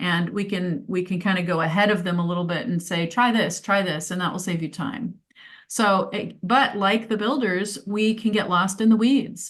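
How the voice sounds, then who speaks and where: A woman speaks at a medium pitch and a moderate pace, her voice somewhat breathy. Her pitch variation is ordinary, and the background is quiet. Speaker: life purpose coach. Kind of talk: presentation. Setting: video call.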